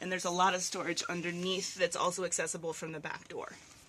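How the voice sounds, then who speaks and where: This woman has a plain, everyday voice at a medium pitch. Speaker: bus owner selling converted school bus; artist. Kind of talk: casual talk to camera, walkthrough tour. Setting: outdoors, road noise.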